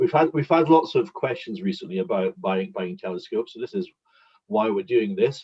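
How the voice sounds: A man speaks at a fairly low pitch and a fairly quick pace, with ordinary pitch variation. His tone is slightly mellow with a slightly husky edge.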